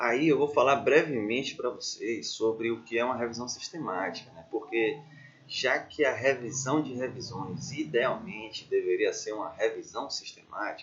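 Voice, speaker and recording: His loudness swinging widely, a man speaks at a moderate pace. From Bahia, Brazil. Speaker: doctoral student, researcher. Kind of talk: educational lecture.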